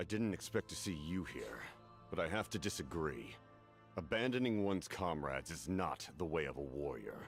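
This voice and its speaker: Music plays clearly in the background as a man uses a put-on character voice. He speaks at a moderate pace with a very deep, low pitch. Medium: video game. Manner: firm, measured.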